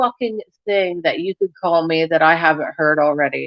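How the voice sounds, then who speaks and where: An animated woman's voice with an American accent, dry and close with no echo. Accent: slight country-ish. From rural Ohio. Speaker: YouTuber. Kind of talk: casual live stream chat.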